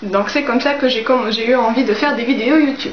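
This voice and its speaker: A woman speaks in a high pitch. Noticeable background noise and audible room echo surround her voice. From Tunisia. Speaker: book YouTuber. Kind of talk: casual Q&A vlog. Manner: hesitant, many fillers.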